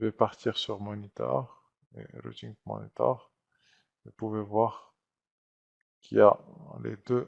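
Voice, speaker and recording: In a dry, close recording with no echo, a man talks very slowly with long, frequent pauses and big swings in loudness. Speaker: IT trainer. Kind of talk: tutorial. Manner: hesitant, many fillers.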